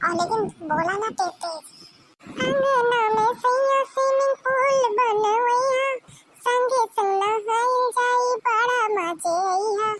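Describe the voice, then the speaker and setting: Doing a cartoonish character voice, a woman speaks at an extremely high pitch and a very slow pace, her loudness very even. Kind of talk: cartoon comedy voice acting. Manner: exclamatory, dramatic.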